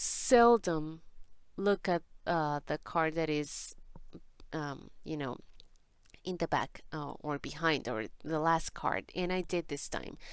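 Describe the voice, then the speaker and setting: A woman with a non-native accent and lively intonation, long, frequent pauses, on a very clean recording with a silent background. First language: Spanish. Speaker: tarot reader. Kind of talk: tarot reading. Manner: halting.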